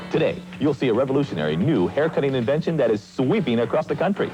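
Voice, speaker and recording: Music plays behind a man with a fairly high pitch. He talks at a fairly quick pace with very wide pitch swings. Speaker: TV program host. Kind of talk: TV infomercial host read.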